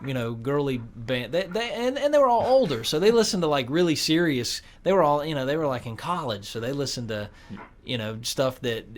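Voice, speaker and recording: Speaking in a North Carolina accent, a man uses lively intonation at a medium pitch and a moderate pace. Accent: North Carolina Southern. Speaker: guitarist. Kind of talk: casual interview. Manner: halting, many repeated words.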